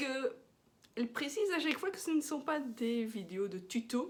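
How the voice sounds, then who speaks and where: A woman with a slight Belgian accent speaks at a fairly slow pace, her pitch swinging very widely. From Belgium. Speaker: knitting podcaster. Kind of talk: casual chat. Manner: hesitant, with many fillers.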